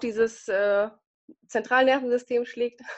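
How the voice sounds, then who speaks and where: High-pitched female voice over a quiet background. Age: 30s. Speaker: nurse with multiple sclerosis. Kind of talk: interview. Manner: hesitant, many fillers.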